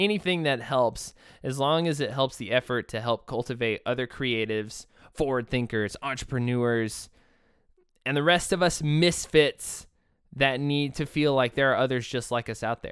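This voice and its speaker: A man with an American accent talks at a moderate pace and medium pitch, his tone animated. His pitch varies in an ordinary way on a very clean recording with a silent background. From Texas. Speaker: podcast host and therapist. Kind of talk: solo podcast monologue. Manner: halting.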